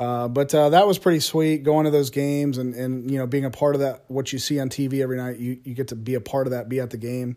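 A very fast man's voice with an American accent, dark and mellow in tone, with hardly any pauses. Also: medium pitch for a man, fairly even intonation. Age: 30s. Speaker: history teacher. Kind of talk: casual monologue. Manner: halting, many fillers.

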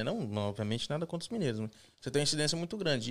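A man speaks with very wide swings in pitch. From Brazil, São Paulo (raised), later Minas Gerais. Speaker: immigrant construction worker. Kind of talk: casual interview on live stream.

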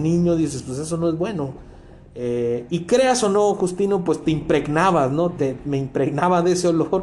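A man with a high pitch and ordinary pitch variation speaks at a moderate pace, with noticeable background noise and audible room echo. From Mexico, Culiacán, Sinaloa. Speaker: podcast guest, host's coworker. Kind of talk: casual chat. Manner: halting, with many repetitions.

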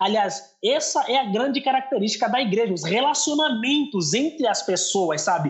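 With an Angolan accent, a man talks at a moderate pace with hardly any pauses, extremely high pitch, very wide pitch swings and very even loudness, amid noticeable background noise. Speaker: youth pastor. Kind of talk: casual chat.

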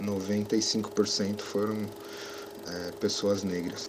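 A man talks at a fairly low pitch. Noticeable background noise is present. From Brazil, São Paulo south zone. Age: 30s. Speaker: cinematographer. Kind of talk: interview.

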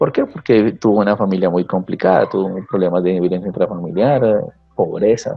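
With very even loudness and ordinary pitch variation, a man talks at a fairly quick pace in a plain, everyday voice. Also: fairly low pitch for a man. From Colombia, Tequendama province (Cundinamarca). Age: 40s. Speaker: teacher. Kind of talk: casual interview conversation.

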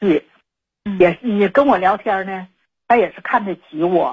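Somewhat breathy, a woman's voice sits at a medium pitch. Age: 50s. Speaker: caller, domestic worker. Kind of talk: personal confession on call-in show. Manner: halting, many fillers.

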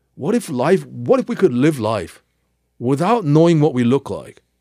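A man's fairly high voice with very wide pitch swings and a dark, mellow tone. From South Korea, then US from mid-teens. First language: Korean. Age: 50s. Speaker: history professor. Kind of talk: interview. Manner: halting.

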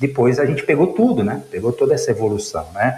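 Noticeable background noise runs through the clip. The speaker goes at a moderate pace. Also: man. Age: 50s. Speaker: logistics executive. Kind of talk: interview. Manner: halting, many fillers.

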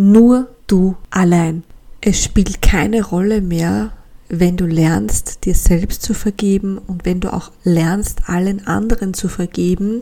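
There is noticeable background noise behind this woman. She speaks at a very slow pace with a medium pitch. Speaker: podcast host. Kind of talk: personal testimony.

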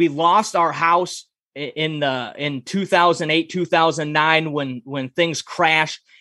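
High-pitched for a man, his voice moves at a fairly slow pace in a dry, close sound with no echo on a very clean recording with a silent background. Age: 30s. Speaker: author and podcast host. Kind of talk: casual interview.

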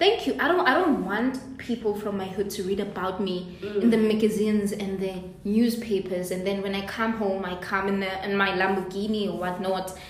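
Over noticeable background noise and audible room echo, a woman talks at a moderate pace with fairly even intonation and hardly any pauses. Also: medium pitch for a woman. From South Africa, Soweto. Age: 20s. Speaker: podcast co-host. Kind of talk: casual chat.

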